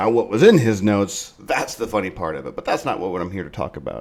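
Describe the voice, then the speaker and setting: A man with a fairly low voice mumbles. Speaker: political commentary podcast host. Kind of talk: opinion monologue. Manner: mumbling; halting.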